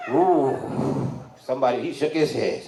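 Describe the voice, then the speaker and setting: A man with a fairly high voice is heard with audible room echo and noticeable background noise. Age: 60s. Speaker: comedian. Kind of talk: stand-up. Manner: animated.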